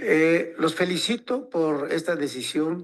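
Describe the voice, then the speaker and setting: A man's voice with ordinary pitch variation. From Mexico, northern Veracruz/Puebla Totonac region. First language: Totonac (tutunacú) (speaking Spanish). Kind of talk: forum talk. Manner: halting, many fillers.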